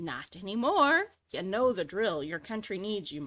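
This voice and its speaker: A woman performs a put-on character voice at a moderate pace, with a medium pitch. Her pitch swings very widely and her loudness shifts a lot. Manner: unrelenting, commanding.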